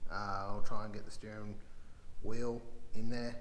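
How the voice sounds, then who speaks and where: Audible room echo and light background noise surround a man speaking in a flat monotone. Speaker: home mechanic vlogger. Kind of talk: casual vlog chat. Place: workshop. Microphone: phone near.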